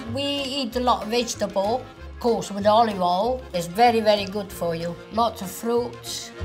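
A woman with an Italian accent talks with hardly any pauses over clear music in the background. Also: ordinary pitch variation, moderate pace. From Italy, rural Lazio. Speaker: grandmother home cook. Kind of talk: casual talk to camera in cooking ad. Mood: warm, cheerful. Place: kitchen.

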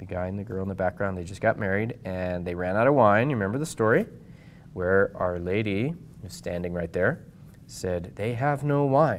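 Over light background noise, a man with a fairly low pitch talks at a moderate pace with lively intonation. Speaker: priest teaching catechism. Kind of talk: lecture. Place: meeting room.

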